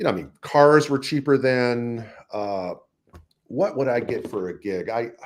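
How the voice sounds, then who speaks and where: A plain, everyday voice from a man with an American accent, medium in pitch, with lively intonation at a fairly slow pace. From US, East Coast and California. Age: 60s. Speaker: jazz trumpeter and educator. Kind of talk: interview. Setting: live stream.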